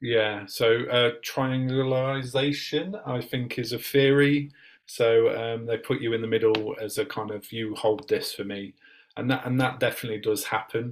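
This man has an unremarkable speaking voice with a medium pitch. He keeps a moderate pace and fairly even intonation. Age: 40s. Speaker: reverend and youth worker. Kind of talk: casual chat.

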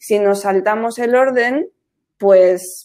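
A woman speaks in a dark, mellow tone, her pitch varying in an ordinary way. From Spain, Madrid. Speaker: graphic designer. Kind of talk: casual interview.

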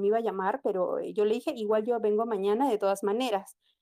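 Her pitch fairly high, a woman talks in a dark, mellow tone. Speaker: student migrant, caller. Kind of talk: casual chat.

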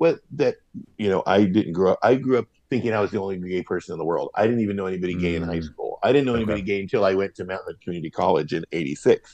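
Talking very fast with an American accent, a man has a fairly low, dark, mellow voice and ordinary pitch variation. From Los Angeles, California. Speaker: drag queen performer. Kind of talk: casual interview. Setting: video call. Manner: animated, humorous.

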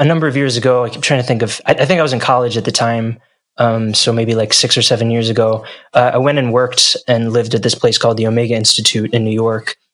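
A man talks at a very fast pace in a New Jersey accent. His medium-pitched voice keeps fairly even intonation. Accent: American, New Jersey. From US, New Jersey. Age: 20s. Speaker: singer-songwriter. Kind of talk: interview.

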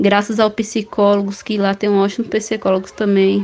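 With noticeable noise behind her, a woman speaks at a moderate pace in a fairly high, monotone voice with flat intonation. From Bahia, Brazil. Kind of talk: testimony. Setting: voice message.

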